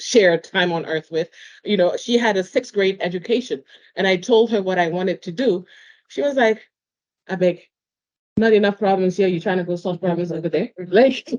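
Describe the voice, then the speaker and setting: A woman with a non-native accent and a medium pitch. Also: ordinary pitch variation, moderate pace. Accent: noticeable foreign. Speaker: panel moderator. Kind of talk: panel discussion.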